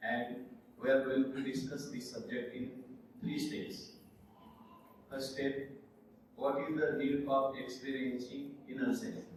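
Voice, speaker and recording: In a room with audible echo and noticeable background noise, someone with an Indian accent speaks at a fairly slow pace with long, frequent pauses. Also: man, medium pitch for a man, ordinary pitch variation. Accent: Indian (Marathi) English. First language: Marathi. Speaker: conference speaker, former engineer. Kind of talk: lecture. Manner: halting.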